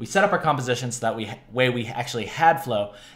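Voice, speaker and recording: A man speaks with lively intonation at a moderate pace. Audible room echo surrounds his voice. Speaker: digital art tutorial host. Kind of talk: tutorial. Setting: home studio, screen recording. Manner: animated, casual, joking. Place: home room.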